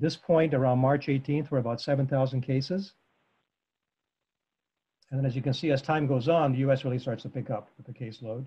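At a fairly quick pace, a man talks with a dark, mellow, somewhat breathy tone and fairly even intonation. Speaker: presenter. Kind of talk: lecture. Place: home room. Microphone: video call.

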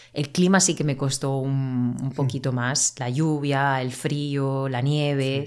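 Against a quiet background, a woman speaks fairly slowly in a very deep, low pitch with monotone, flat intonation. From Murcia, southern Spain; Spain. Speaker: Spanish teacher. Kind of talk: casual interview for language learners. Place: home room. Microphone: studio mic.

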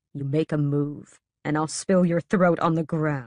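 A put-on character voice sits at middle pitch and moves at a fairly slow pace. Hissing is heard against a quiet background. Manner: menacing, hissed.

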